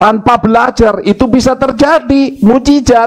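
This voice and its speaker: A man is speaking. He has a Javanese accent. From Java, Indonesia. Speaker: pastor. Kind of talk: sermon. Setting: church service, live-streamed.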